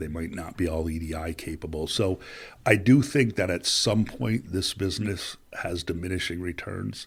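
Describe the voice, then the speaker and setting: A man talks at a moderate pace with a very deep, low pitch and a somewhat breathy sound. The recording is very clean, with a silent background. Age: 50s. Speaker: business executive. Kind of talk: podcast interview. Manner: talkative.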